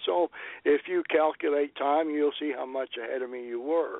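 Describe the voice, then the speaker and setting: This is a plain, everyday voice at a moderate pace. Pitch variation is ordinary. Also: man. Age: 60s. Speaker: podcaster and friend of host. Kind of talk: casual interview.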